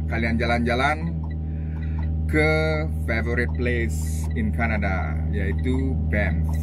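Loud music plays in the background as a man talks. He goes at a very slow pace, with long, frequent pauses. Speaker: truck driver vlogger. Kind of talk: casual vlog chat. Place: car. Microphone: phone near.

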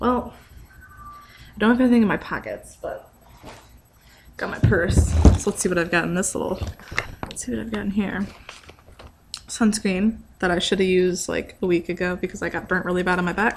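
A soft-spoken woman of medium pitch talks at a fairly quick pace with ordinary pitch variation. She takes long, frequent pauses, and there is light background noise. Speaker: vlogger. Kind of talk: casual vlog. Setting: garage. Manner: soft-spoken, talking quietly. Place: garage. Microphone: webcam.

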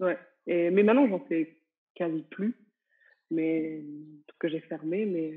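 A woman's fairly low voice with ordinary pitch variation, big swings in loudness, a very slow pace and long, frequent pauses, against a quiet background. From France, small village. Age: 30s. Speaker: entrepreneur and business coach; interviewee. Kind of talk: interview. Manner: casual, hesitant with many fillers. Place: home room. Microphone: earbuds.

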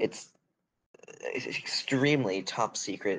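The voice has ordinary pitch variation, with light background noise behind it. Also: man. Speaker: tabletop game player. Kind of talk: in-character roleplay. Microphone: video call.

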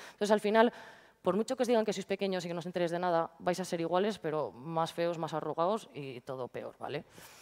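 A woman's very fast speech with ordinary pitch variation, against a quiet background. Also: fairly low pitch for a woman. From Valladolid, Spain; Spain. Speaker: DJ and entrepreneur; speaker. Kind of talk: talk to schoolchildren. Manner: animated. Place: hall.

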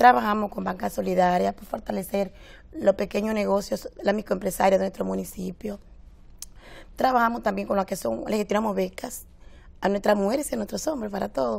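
The pace is fairly quick. Loudness swings widely. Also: woman. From Dominican Republic. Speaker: deputy mayor. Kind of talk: TV interview. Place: studio.

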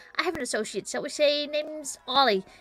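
A woman puts on a character voice. She talks at a fairly quick pace. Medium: game stream. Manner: flattering, courtly, wheedling.

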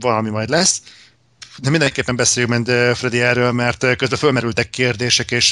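Fairly quick speech from a man at medium pitch, with fairly even intonation. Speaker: podcast host. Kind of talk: casual chat.

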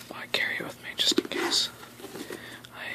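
Whispering and soft-spoken at a fairly quick pace, the speaker is heard over loud background noise. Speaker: vlogger. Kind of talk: casual vlog chat. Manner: soft ASMR whisper, close to mic. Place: home room. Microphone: webcam.

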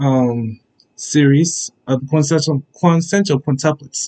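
The background stays quiet as a man talks at a moderate pace. His pitch moves in an ordinary way. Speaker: anime reaction vlogger. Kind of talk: casual vlog chat. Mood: upbeat, enthusiastic. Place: home room. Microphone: webcam.

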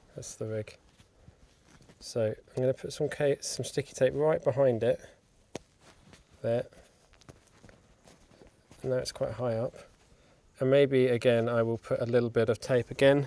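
A man talks at a moderate pace with fairly even intonation and long, frequent pauses, the sound dry with no echo. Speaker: sound technician demonstrating mic rig. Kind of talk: tutorial. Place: hall. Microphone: phone near.

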